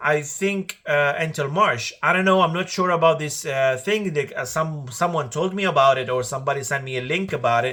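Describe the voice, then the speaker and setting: The man talks at a fairly quick pace with hardly any pauses. His tone is bright and sharp, fairly high in pitch, with ordinary pitch variation. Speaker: car vlogger. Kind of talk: casual vlog talk to camera. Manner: hesitant, many fillers.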